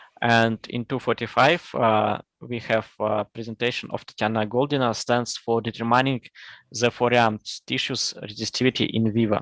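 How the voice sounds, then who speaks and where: A man with a Russian accent speaks in a medium pitch at a moderate pace with flat, monotone intonation, the sound dry and close with no echo and the background quiet. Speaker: conference session chair. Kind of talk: conference moderation. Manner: halting.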